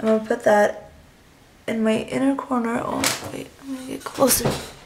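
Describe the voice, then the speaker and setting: Against noticeable background noise, a woman talks at a moderate pace with big swings in loudness and long, frequent pauses. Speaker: beauty vlogger. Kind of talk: makeup tutorial. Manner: casual with many fillers.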